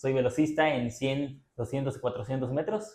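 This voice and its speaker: Somewhat breathy and dark, mellow in tone, a man talks at a moderate pace with a medium pitch. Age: 20s. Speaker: blind pianist and sprinter. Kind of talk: interview.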